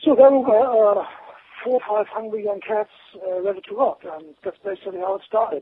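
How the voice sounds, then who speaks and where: Over noticeable background noise, a man with a high voice speaks fairly quickly, with ordinary pitch variation and big swings in loudness. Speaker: rock musician. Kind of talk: interview. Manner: fast.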